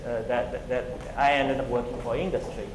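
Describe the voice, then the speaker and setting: A man speaks with a Chinese accent amid audible room echo and noticeable background noise. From China. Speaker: tech entrepreneur. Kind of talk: conference talk. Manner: halting, many fillers and repetitions.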